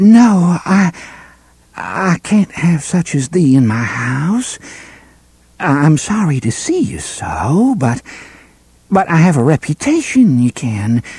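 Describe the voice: In a put-on character voice with a slightly mellow tone and a husky, rough edge, the speaker goes slowly with long, frequent pauses and big pitch swings. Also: man, fairly high pitch for a man.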